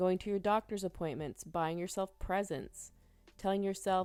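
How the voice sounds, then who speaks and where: A woman's medium-pitched voice with an American accent, music in the background. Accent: southern accent when mad. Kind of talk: tarot reading monologue. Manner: animated.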